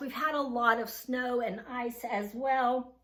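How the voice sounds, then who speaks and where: A woman's high-pitched voice amid noticeable background noise. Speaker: thrift haul vlogger. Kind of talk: casual haul video talk.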